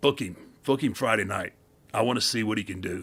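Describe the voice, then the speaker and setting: A man talks at a very fast pace in a put-on character voice, gravelly and raspy. His pitch is medium, with ordinary variation. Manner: gruff, commanding.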